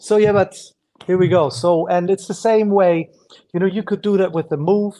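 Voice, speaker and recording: A man's dark, mellow voice with a German accent. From Germany. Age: 50s. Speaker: breakdancer and dance teacher. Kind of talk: podcast interview. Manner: halting.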